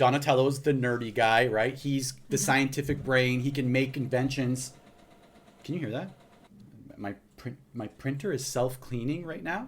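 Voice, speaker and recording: A man with an American accent, medium pitch, fairly even intonation and a somewhat breathy sound. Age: 40s. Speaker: podcast host. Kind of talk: casual podcast conversation. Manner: fast.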